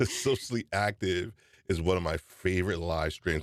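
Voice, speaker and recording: Animated in tone, a man with a New York accent is heard in a dry, close sound with no echo. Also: very clean recording, silent background. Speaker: podcast host. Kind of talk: live stream chat.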